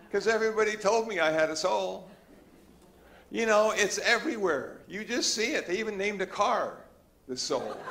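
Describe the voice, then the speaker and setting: Over noticeable background noise, a man with a high voice speaks at a moderate pace with lively intonation and long, frequent pauses. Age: 70s. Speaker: Buddhist monk. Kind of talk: Dharma talk. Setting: church hall with audience. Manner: relaxed, conversational.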